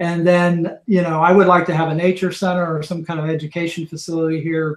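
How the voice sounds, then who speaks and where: A man talks at a fairly quick pace. His fairly high voice stays in a monotone, flat intonation. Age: 60s. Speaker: venom extractor, reptile zoo director. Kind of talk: podcast interview. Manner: halting, repetitive.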